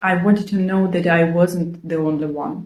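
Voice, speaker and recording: Somewhat breathy speech in a non-native accent at a fairly slow pace. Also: woman. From Ukraine. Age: 40s. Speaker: video blogger. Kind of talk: personal vlog monologue. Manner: earnest, conversational.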